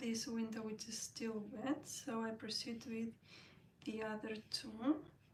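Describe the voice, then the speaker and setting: Over noticeable background noise, a woman speaks at a fairly slow pace with a fairly high pitch and monotone, flat intonation. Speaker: watercolour art teacher. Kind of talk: tutorial.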